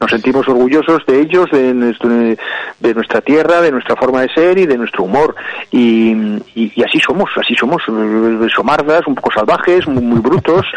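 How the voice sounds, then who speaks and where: Here a man talks at a moderate pace. His voice sits at medium pitch with ordinary pitch variation. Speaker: cultural commentator. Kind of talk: casual chat.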